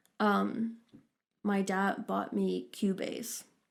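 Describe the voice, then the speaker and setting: A woman with a Norwegian accent speaks in a monotone, flat intonation on a very clean recording with a silent background. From Norway. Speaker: singer-songwriter and producer. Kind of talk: casual chat.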